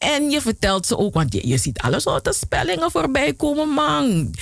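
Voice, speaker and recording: Amid noticeable background noise, the speaker has an animated tone with very wide pitch swings. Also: woman. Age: 40s. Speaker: radio host. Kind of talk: radio presenting.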